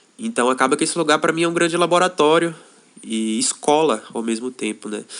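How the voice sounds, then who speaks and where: Against a quiet background, a man with an unremarkable speaking voice talks fairly quickly at a fairly high pitch with lively intonation. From Brazil, Salvador, Bahia. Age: 20s. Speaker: intentional community member. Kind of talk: podcast interview.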